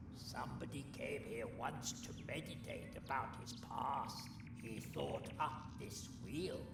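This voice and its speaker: A put-on character voice speaks at a fairly slow pace. Loud background noise and a slight echo fill the recording. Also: man. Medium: machinima. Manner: chatty, wry.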